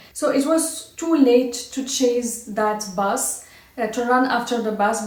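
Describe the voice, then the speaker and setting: High-pitched female speech with noticeable noise behind it. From Morocco, Casablanca. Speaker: vlogger. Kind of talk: personal story. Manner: halting.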